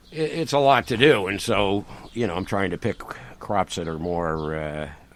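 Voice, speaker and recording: A man with an American accent speaks in a very deep, low voice with very wide pitch swings. Noticeable background noise is present. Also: moderate pace. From Rhode Island, US. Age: 60s. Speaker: farmer. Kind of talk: casual interview chat.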